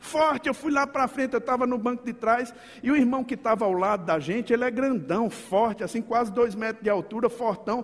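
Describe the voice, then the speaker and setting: Talking at a fairly quick pace, a man uses an extremely high-pitched voice. His tone is animated and he hardly pauses at all. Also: ordinary pitch variation. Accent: slight northeastern Brazilian. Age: 50s. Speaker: pastor. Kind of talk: sermon. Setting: church.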